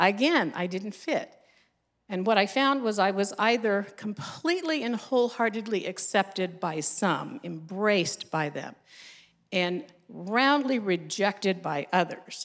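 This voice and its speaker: In a plain, everyday voice, a woman with an American accent speaks at medium pitch and a fairly slow pace, her intonation lively. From United States. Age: 60s. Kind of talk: testimony. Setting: stage with audience.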